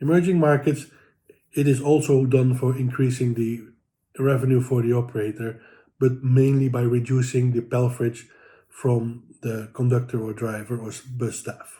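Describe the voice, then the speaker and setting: A man's dark, mellow, somewhat breathy voice at medium pitch, flat and monotone, at a moderate pace. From Netherlands. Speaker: transit payments executive. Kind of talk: prepared commentary. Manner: halting.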